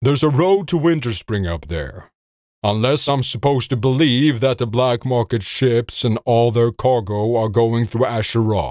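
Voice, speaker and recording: A put-on character voice at a moderate pace, on a very clean recording with a silent background. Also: man, medium pitch for a man. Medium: read story. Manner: gruff, blunt.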